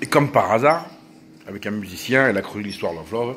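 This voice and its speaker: Very fast male speech under noticeable background noise. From France, partly Corsican origin. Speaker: vlogger. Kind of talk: casual monologue vlog. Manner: animated.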